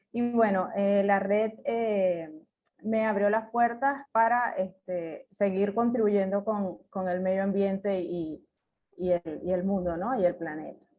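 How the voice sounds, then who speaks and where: With a Venezuelan accent, a woman speaks at a very slow pace in a dark, mellow tone with ordinary pitch variation. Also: medium pitch for a woman. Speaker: agronomist, climate adaptation specialist. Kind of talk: conference talk. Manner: hesitant, many fillers.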